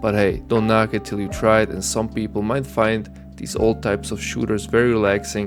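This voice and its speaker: Over music in the background, a man speaks at a moderate pace with a fairly low pitch and ordinary pitch variation. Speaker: gameplay commentator for sleep videos. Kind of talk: sleep gameplay intro talk to viewer. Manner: soft-spoken.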